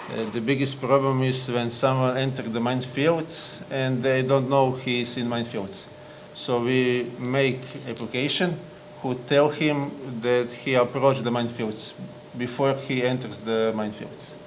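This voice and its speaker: In a room with audible echo and noticeable background noise, a man of medium pitch speaks at a moderate pace with monotone, flat intonation. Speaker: app developer. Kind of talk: acceptance speech; interview. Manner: halting.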